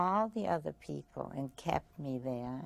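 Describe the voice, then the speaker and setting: With lively intonation, a woman talks in a dark, mellow tone. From Vienna, Austria. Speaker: Holocaust survivor. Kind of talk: testimony interview. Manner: halting.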